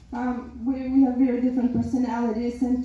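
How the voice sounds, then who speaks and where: In a Macedonian accent, a woman with a high pitch speaks at a moderate pace with monotone, flat intonation and audible room echo. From North Macedonia. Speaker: maid of honor. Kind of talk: wedding speech. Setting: wedding reception.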